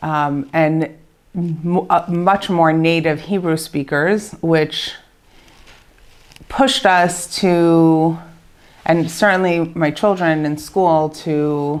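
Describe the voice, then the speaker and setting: Speaking very slowly, a woman uses a very deep, low pitch and a Baltimore accent. Her intonation is fairly even. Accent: American (Baltimore). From Baltimore, Maryland, USA. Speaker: bakery owner. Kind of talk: interview answer.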